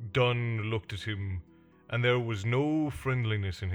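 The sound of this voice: Pitch varies in an ordinary way across an unforced reading voice.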